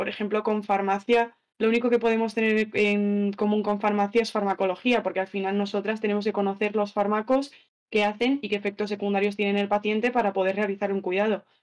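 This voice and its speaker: A woman of medium pitch talks at a fairly quick pace with monotone, flat intonation. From Andalusia, Spain. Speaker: nursing student. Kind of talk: interview.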